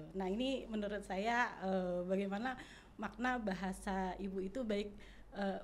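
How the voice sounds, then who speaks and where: Speaking at a fairly slow pace with fairly even intonation, a woman is heard with audible room echo. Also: medium pitch for a woman. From Jakarta, Betawi community. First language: Betawi Malay (speaking Indonesian). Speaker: language expert. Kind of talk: podcast interview.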